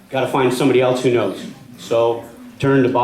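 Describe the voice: Plain, read-aloud delivery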